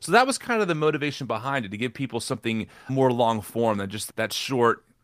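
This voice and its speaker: An ordinary speaking voice from a man with an American accent, medium pitch, ordinary pitch variation, fairly quick pace, very clean recording with a silent background. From New Jersey. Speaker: podcaster. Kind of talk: interview conversation.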